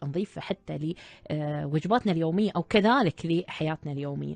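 A woman with an Emirati accent speaks in a very deep, low voice at a moderate pace. Her pitch varies in an ordinary way, and the sound is dry with no echo. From UAE. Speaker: radio host and doctor. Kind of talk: live radio show. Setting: studio. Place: studio.

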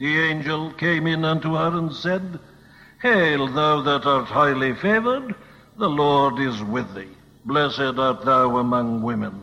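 A man with an ordinary speaking voice talks at a fairly slow pace, his fairly high pitch rising and falling in lively intonation. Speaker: preacher. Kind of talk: sermon.

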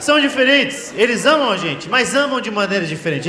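A man speaks in a raised, projected voice. Audible room echo and light background noise surround him. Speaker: stand-up comedian. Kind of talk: stand-up comedy routine. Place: stage. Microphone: handheld.

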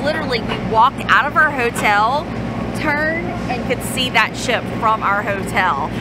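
A woman talks at a fairly slow pace, with a dry sound and no echo. Loud background noise runs underneath. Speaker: travel vlogger. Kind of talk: casual vlog chat. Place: street. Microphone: phone near.

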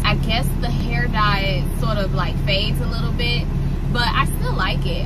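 Loud background noise sits behind a woman speaking at a moderate pace. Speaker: truck driver vlogger. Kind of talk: casual vlog chat. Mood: relaxed, chatty a lot. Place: car. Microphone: phone near.

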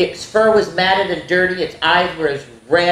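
The recording consists of plain reading aloud.

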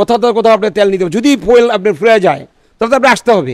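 A man talks with ordinary pitch variation. The sound is dry with no echo, over a quiet background. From Bangladesh, Munshiganj; Bangladesh. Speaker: petrol pump owner. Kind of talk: street interview. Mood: concerned about business situation. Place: office. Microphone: handheld.

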